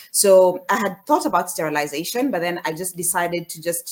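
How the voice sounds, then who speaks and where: A woman speaks in a normal speaking voice at a moderate pace, her fairly low pitch showing ordinary variation. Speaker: panellist. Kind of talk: panel discussion. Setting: video call.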